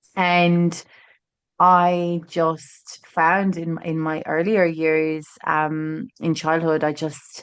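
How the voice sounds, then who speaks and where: In an Irish accent, a woman speaks at a very slow pace and fairly low pitch with monotone, flat intonation. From Ireland, Tralee, County Kerry. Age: 30s. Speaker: author and agency owner. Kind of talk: podcast interview. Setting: in person, same room.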